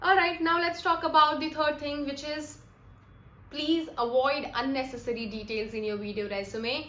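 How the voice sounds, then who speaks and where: Over noticeable background noise and audible room echo, a woman speaks in a raised, projected voice at a moderate pace. Her pitch is high and her intonation lively. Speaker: soft skills trainer. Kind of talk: tutorial. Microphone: broken mic, some noise.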